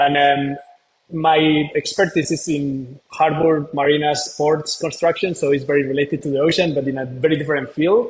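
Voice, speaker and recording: Speaking at a moderate pace with a Spanish accent, a man has a fairly high, somewhat breathy voice and fairly even intonation. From northern Spain. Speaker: marine conservation founder, former engineer. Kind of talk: interview.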